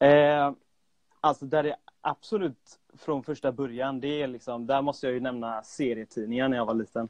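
Here a man speaks in an ordinary speaking voice at medium pitch. His pace is moderate and his intonation fairly even. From Sweden, Gothenburg. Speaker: freelance graphic designer and illustrator. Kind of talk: casual chat. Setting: remote call. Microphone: remote audio, sometimes poor.

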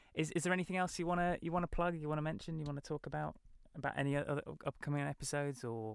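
Speaking at a very fast pace, a man with a British accent is heard in a very clean recording with a silent background. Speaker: podcast host. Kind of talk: interview. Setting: studio.

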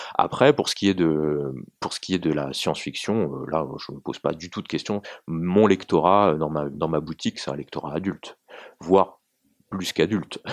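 A man's very deep, low voice with vocal fry, ordinary pitch variation and a moderate pace, in a dry, close sound with no echo against a quiet background. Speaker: novelist. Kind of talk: interview. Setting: small room. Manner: halting.

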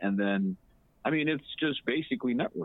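A man's unremarkable speaking voice, fairly quick, with lively intonation. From Ghana, raised in Botswana and the US. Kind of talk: casual interview. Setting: remote call.

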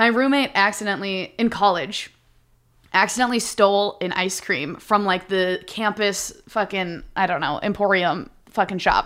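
Speaking at a moderate pace in an American accent, a woman with an animated tone and medium pitch uses ordinary pitch variation, caught on a very clean recording with a silent background. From Minnesota. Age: 30s. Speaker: stand-up comedian. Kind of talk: casual chat.

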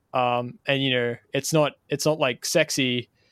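With a dry, close sound and no echo, a man in an Australian accent speaks at medium pitch in a monotone, flat intonation. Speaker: podcast host. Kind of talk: interview.

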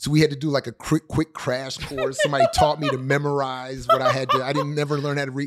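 Over noticeable background noise, a man speaks at a very fast pace with hardly any pauses, his fairly high voice held in a monotone, flat intonation. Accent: American. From Maryland (Howard County), US. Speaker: professor and author. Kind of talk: interview. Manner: halting, many fillers and restarts.

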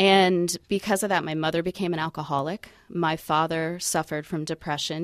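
Over a very clean recording with a silent background, a woman talks at a fairly quick pace in a normal speaking voice, her fairly low pitch carried with fairly even intonation. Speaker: suicide prevention walk organizer. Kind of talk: radio interview. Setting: studio.

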